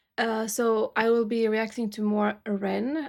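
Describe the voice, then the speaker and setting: The voice is monotone with flat intonation, on a very clean recording with a silent background. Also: woman. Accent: Romanian. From Romania. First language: Romanian. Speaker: YouTube music reactor. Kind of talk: casual vlog talk to camera. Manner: halting, many fillers.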